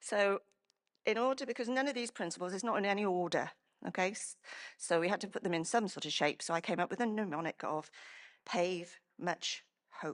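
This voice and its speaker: A woman speaks at a fairly quick pace with a medium pitch and ordinary pitch variation, leaving long, frequent pauses against a quiet background. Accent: Welsh. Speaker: emergency planning professional. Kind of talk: conference presentation. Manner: halting, many fillers and restarts.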